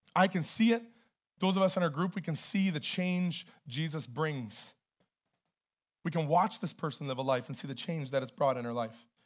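Loud and lively in intonation, a man with a Canadian accent talks at a moderate pace and a fairly high pitch, leaving long, frequent pauses. The recording is very clean, with a silent background. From Canada. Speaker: pastor. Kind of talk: sermon. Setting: church.

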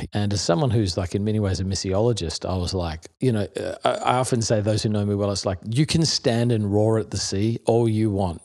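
A man with an American accent speaks at a fairly quick pace with hardly any pauses. His pitch is fairly low, with ordinary variation. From Australia (Melbourne, Perth, Adelaide). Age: 40s. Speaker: pastor. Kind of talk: casual interview conversation.

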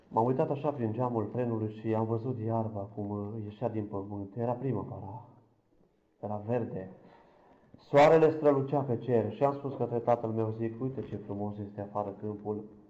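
Against audible room echo, a man with a medium pitch speaks at a moderate pace with fairly even intonation. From Romania, Câmpia Turzii. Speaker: blind church minister giving testimony. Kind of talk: testimony.

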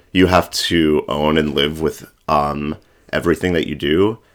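A man speaks at a moderate pace. His voice is very deep and low. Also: very clean recording, silent background. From Florida. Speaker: drag performer. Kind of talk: casual chat. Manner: halting, many fillers.

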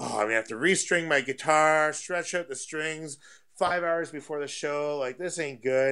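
A man with a Canadian accent, fairly high in pitch and bright, sharp in tone, at a moderate pace with ordinary pitch variation on a very clean recording with a silent background. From Canada (Ontario). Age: 30s. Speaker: musician and record label manager. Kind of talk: casual interview.

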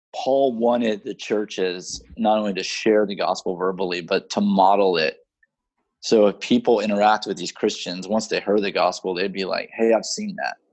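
This man has an ordinary speaking voice, a fairly low pitch, and a moderate pace. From Houston, Texas. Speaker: missionary. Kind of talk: casual chat. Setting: video call.

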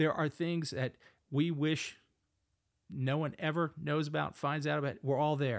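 Speaking at a fairly slow pace with long, frequent pauses, a man with an American accent uses a fairly high pitch and fairly even intonation on a very clean recording with a silent background. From US Northeast, Philadelphia. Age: 50s. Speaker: pastor. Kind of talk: casual chat. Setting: home studio.

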